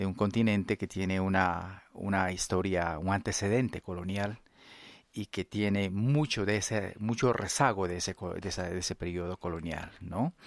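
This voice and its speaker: With an Ecuadorian accent, a man with a fairly low pitch speaks at a moderate pace and with fairly even intonation, the sound dry and close with no echo. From Ecuador, central Amazon (Kichwa community). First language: Kichwa (speaking Spanish). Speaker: anthropologist. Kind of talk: interview. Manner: halting, many fillers.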